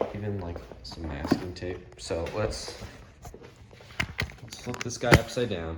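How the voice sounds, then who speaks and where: A man at a fairly slow pace with very wide pitch swings, amid noticeable background noise and audible room echo. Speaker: radio restoration hobbyist. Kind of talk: tutorial. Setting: home workshop. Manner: casual, filler-heavy.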